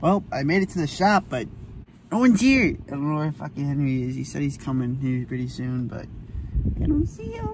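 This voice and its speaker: Noticeable background noise sits behind the voice. A man speaks at a fairly quick pace. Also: dry sound with no echo. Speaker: vlogger. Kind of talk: casual vlog chat. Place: car. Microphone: phone near.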